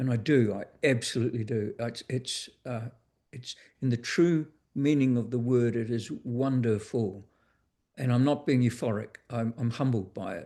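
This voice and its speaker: Speaking with a New Zealand accent, a man at medium pitch has a dark, mellow tone, a moderate pace and fairly even intonation. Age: 60s. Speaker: author and educator. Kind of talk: interview. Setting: video call. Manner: halting.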